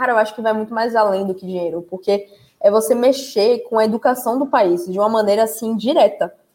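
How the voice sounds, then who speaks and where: A woman speaks at a fairly quick pace in a dark, mellow tone. Her pitch sits fairly high, with ordinary pitch variation. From Salvador, Bahia, Brazil. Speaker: live stream host, tech content creator. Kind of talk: casual live stream chat. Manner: animated.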